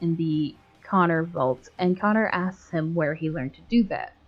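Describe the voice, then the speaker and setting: Music plays in the background while a woman talks. Her pitch is fairly low, with ordinary pitch variation. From Canada. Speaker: video game YouTuber. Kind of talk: video essay narration.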